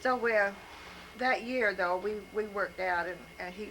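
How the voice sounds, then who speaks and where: A woman speaks at a moderate pace with fairly even intonation. Noticeable background noise can be heard. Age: old. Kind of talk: life story told to family.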